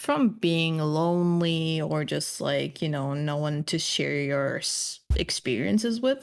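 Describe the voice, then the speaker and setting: A woman speaks at a very slow pace with hardly any pauses, her pitch very deep and low. The recording is very clean with a silent background. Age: 20s. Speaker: streamer sharing mental health struggles. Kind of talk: personal testimony in interview. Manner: hesitant, many fillers.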